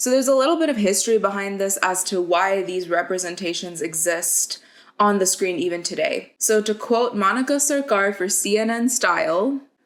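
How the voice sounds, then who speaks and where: The recording is very clean, with a silent background. A woman speaks in a plain, everyday voice at a medium pitch. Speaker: video essayist. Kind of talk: video essay. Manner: casual, chatty.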